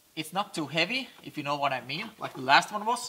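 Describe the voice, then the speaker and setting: At a moderate pace, a man talks. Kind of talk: tutorial. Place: car. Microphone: camera far.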